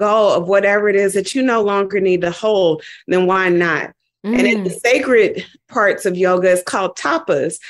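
Recorded very cleanly with a silent background, a woman uses a normal speaking voice at medium pitch and a moderate pace. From Dayton, Ohio, US Midwest. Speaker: yoga teacher. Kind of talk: interview conversation.

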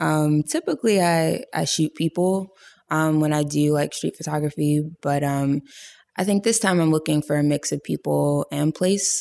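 The voice has a dark, mellow tone and very even loudness throughout. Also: woman, very deep, low pitch for a woman, ordinary pitch variation, moderate pace, dry, close sound with no echo. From US, Pittsburgh, Pennsylvania. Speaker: photographer and filmmaker. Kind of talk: casual interview.

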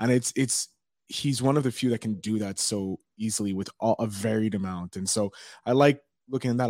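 A man with a Canadian accent talks fairly quickly in a plain, everyday voice, fairly low in pitch with ordinary pitch variation. The sound is dry and close, with no echo. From Montreal, Canada. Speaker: podcast host. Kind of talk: interview.

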